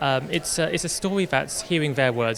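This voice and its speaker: Noticeable background noise under a man talking at a fairly quick pace. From London, England. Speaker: film director. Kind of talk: red carpet interview. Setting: red carpet at a film festival. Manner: hesitant, many fillers and restarts.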